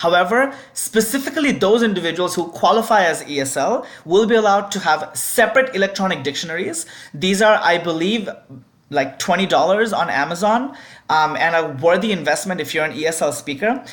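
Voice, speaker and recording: In a room with audible echo, a woman with a medium-pitched voice talks at a fairly quick pace using lively intonation. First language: not English. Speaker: debate adjudicator. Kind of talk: instructional video.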